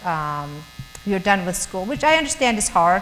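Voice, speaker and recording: A woman's voice makes very wide pitch swings against noticeable background noise. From Germany. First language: German. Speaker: missionary speaker. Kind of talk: talk to students. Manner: halting, many fillers and repeats.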